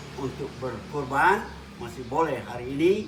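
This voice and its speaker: A man speaks at medium pitch with ordinary pitch variation. Audible room echo and noticeable background noise fill the recording. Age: 70s. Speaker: Islamic preacher, professor. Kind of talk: religious talk.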